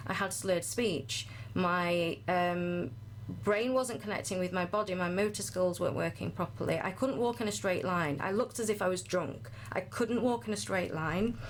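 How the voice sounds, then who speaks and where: A woman's fairly low voice with vocal fry, very wide pitch swings, and very even loudness. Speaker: health and wellbeing coach. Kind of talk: podcast interview, personal testimony. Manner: fast.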